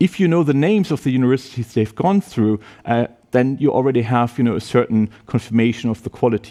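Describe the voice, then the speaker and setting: Dark, mellow tone from a man with a German accent, medium pitch, fairly quick delivery, and a dry, close sound with no echo. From Germany. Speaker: university professor. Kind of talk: presentation to prospective students.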